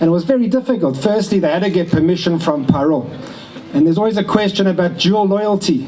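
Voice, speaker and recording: Over noticeable background noise, a man with a South African accent and a high pitch for a man talks at a very fast pace, keeping very even loudness and ordinary pitch variation. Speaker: family member giving a speech. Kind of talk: speech at a family ceremony. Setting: event with audience, relatives on video call.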